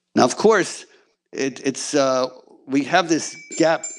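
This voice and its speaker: A man's medium-pitched voice with ordinary pitch variation, a normal speaking voice. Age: 60s. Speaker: congressional candidate. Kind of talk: campaign speech.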